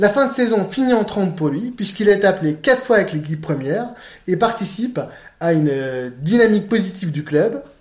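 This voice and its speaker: Pitch swings very widely in this man's voice. He speaks at a moderate pace. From France. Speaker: football podcast host. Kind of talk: podcast interview.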